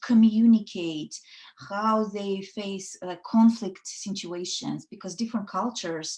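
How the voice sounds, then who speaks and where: Speaking in a Russian accent, a woman has a somewhat breathy, dark, mellow tone at a medium pitch with ordinary pitch variation. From Soviet Union (Russia). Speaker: women's network founder. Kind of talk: casual interview chat. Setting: online live show. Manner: hesitant, many fillers.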